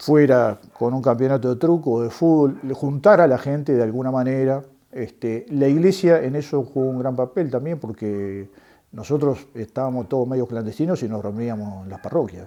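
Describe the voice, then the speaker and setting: A man with a Uruguayan accent, medium pitch and a dark, mellow tone, ordinary pitch variation at a moderate pace. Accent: Rioplatense Spanish (Uruguayan). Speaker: former political prisoner, construction worker and trade unionist. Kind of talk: testimony interview. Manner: halting, many fillers.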